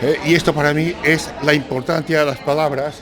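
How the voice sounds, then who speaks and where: An animated tone at a fairly slow pace, with noticeable background noise and audible room echo. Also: man. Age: 60s. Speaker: writer. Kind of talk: panel discussion. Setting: bar with audience.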